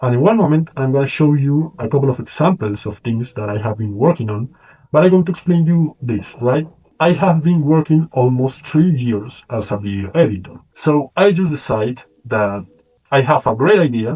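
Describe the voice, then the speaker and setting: With a Colombian accent, a man speaks at a moderate pace in a fairly high, dark and mellow voice that is somewhat breathy, with lively intonation. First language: Spanish. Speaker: freelance video editor and vlogger. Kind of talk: casual vlog monologue to camera.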